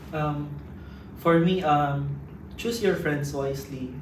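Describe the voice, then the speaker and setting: A man talks at a fairly slow pace in a fairly high pitch. Noticeable background noise and audible room echo surround him. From Philippines. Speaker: international student. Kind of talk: casual interview. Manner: halting.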